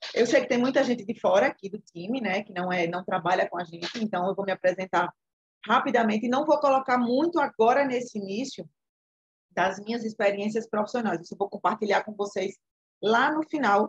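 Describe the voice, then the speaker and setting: Somewhat breathy and fairly high-pitched, a woman speaks at a fairly quick pace with ordinary pitch variation in a dry, close sound with no echo. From Alagoas, Brazil. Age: 40s. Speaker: entrepreneur. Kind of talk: online class talk.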